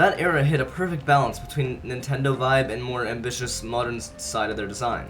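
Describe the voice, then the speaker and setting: Music plays in the background. A man speaks over it at a medium pitch. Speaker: gaming video creator. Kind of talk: gaming commentary voiceover.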